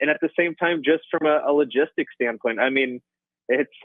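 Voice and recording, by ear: A man speaks at a fairly high pitch and a fairly quick pace, with ordinary pitch variation. The sound is dry and close, with no echo.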